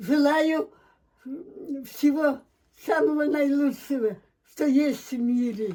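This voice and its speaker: Very slowly and with long, frequent pauses, a woman speaks in a high pitch with a dark, mellow tone. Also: ordinary pitch variation. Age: 80s+. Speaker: war veteran; former partisan scout and liaison. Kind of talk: holiday greeting.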